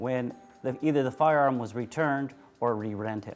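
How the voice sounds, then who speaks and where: With music in the background, a man speaks at a medium pitch. His pace is moderate and his pitch variation is ordinary. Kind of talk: auction house presentation of firearms.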